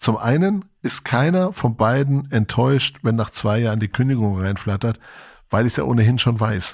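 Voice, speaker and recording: A man talks at a medium pitch and a moderate pace with lively intonation, a plain, everyday voice. The recording is very clean, with a silent background. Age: 40s. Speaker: podcast host. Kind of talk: casual chat.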